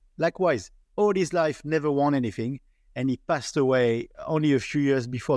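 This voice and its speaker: This man has a French accent and a fairly high pitch. He talks at a fairly quick pace with ordinary pitch variation. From France. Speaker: podcast host. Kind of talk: interview.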